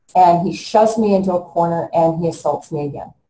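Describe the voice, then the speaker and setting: A woman's somewhat breathy voice, fairly low in pitch, with a dark, mellow tone and fairly even intonation. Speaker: interviewee. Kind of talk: interview answer. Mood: distressed, emotional retelling. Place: home room. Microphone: video call.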